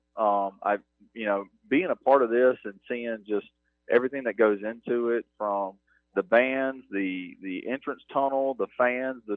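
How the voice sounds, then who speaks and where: Speaking in a strong North Mississippi accent, a man keeps a medium pitch, a moderate pace and fairly even intonation. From US South, North Mississippi (Starkville). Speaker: university athletics operations director. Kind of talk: radio interview.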